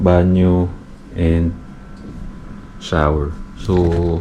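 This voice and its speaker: A man speaks with noticeable background noise around him. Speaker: travel vlogger. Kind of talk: casual vlog. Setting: hotel room, Bali. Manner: casual, filler-heavy; lowered voice, quieter.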